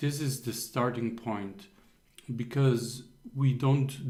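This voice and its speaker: Heard with audible room echo, a man with a non-native accent speaks at a medium pitch in a dark, mellow, somewhat breathy tone with fairly even intonation. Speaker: accountability coach. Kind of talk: motivational talk on a group call. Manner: hesitant with frequent fillers.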